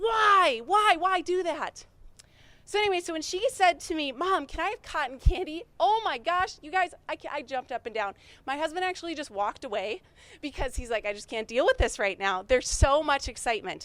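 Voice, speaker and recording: A woman with an Upper Midwest accent, an extremely high pitch, very wide pitch swings, a bright, sharp tone and a fairly quick pace. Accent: Upper Midwest American. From North Dakota. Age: 30s. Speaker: small business owner. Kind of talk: pitch presentation to audience. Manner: fast.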